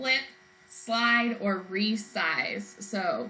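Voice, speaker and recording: A bright, sharp tone within audible room echo. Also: woman. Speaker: math teacher. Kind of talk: lecture.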